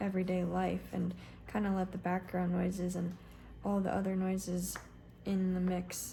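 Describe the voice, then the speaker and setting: A soft-spoken woman talks at a fairly slow pace. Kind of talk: casual talk to camera.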